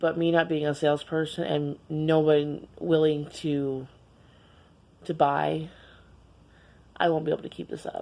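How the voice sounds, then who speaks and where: A woman's very deep, low voice, fairly slow and monotone, flat in intonation, with long, frequent pauses. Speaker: vlogger. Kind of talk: casual vlog monologue. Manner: halting, repeating words.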